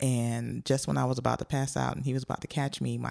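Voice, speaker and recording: Very fast speech in an American accent. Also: woman. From Joliet, Illinois, near Chicago. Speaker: improv comedian. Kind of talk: casual chat.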